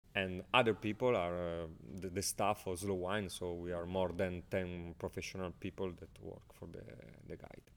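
Very deep, low pitch from a man with a strong Italian accent, at a moderate pace with fairly even intonation. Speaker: wine guide editor and journalist. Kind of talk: casual interview. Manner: halting, searching for words.

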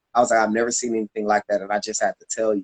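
Recorded dry and close with no echo, a man talks with an American accent. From Florida, Tampa. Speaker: dance teacher and choreographer. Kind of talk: casual interview. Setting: live video stream.

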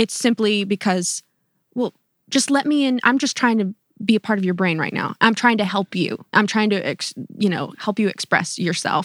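A woman speaks in a normal speaking voice at a medium pitch and moderate pace, with an American accent and a dry, close sound with no echo. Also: ordinary pitch variation, very clean recording, silent background. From North Carolina. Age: 20s. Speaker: pop singer-songwriter. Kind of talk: interview conversation.

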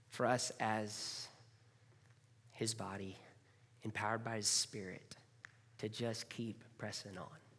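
Fairly slow speech in an American accent, broken by long, frequent pauses. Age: 40s. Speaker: pastor. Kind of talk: sermon.

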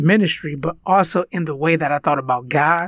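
On a very clean recording with a silent background, a man speaks in a high pitch with a Spanish accent. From United States. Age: 30s. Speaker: podcast co-host and minister. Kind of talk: casual chat.

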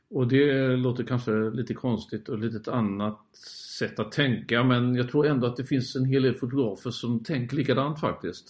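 Speaking in a normal speaking voice, a male talker holds a medium pitch, a moderate tempo and fairly even intonation. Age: 50s. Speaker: landscape photographer. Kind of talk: interview.

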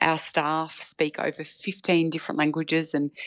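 A woman's very deep, low, monotone voice with an Australian accent, dry and close with no echo, over a quiet background. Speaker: community health manager. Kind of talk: interview.

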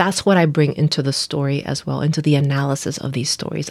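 In a Spanish accent, the woman's intonation stays monotone and flat. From Nicaragua. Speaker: pastor. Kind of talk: casual chat.

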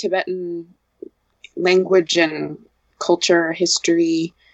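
A woman with an unremarkable speaking voice talks at medium pitch and a fairly slow pace. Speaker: friend and supporter of the monks. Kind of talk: casual interview. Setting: video call.

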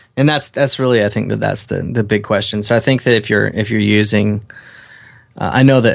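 A man with an American accent speaks fairly quickly in a plain, everyday voice. His pitch is fairly low and his intonation fairly even. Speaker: podcast co-host, photographer. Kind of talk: casual chat.

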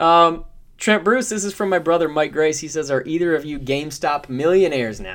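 A man with an unremarkable speaking voice, an American accent, fairly high pitch, lively intonation, big swings in loudness and a fairly quick pace. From Michigan. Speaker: podcast co-host. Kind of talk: casual chat.

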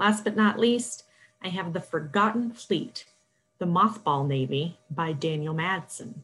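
Her pitch sits fairly low for a woman, and her intonation is lively. She has a normal speaking voice. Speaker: librarian. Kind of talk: scripted book recommendations.

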